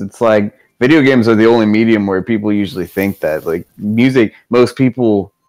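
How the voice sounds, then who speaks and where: The voice belongs to a man with a medium pitch. His pitch varies in an ordinary way. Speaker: video game streamer. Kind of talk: casual chat. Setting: live stream on camera. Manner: animated.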